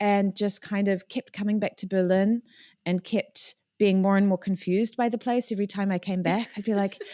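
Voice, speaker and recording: A woman speaks at medium pitch with a dark, mellow tone and monotone, flat intonation, in a New Zealand accent. The sound is dry and close with no echo, on a very clean recording with a silent background. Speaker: electronic music producer and singer. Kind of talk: podcast interview.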